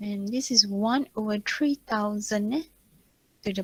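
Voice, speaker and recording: A woman speaks at a fairly slow pace in a somewhat breathy voice. The sound is dry and close, with no echo. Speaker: university lecturer. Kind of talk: online lecture.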